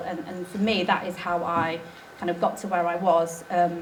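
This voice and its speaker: Amid noticeable background noise and audible room echo, a woman speaks at a moderate pace with a fairly low pitch. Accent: East Midlands. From England, Nottingham. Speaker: documentary filmmaker. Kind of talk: conference talk. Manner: hesitant, many fillers.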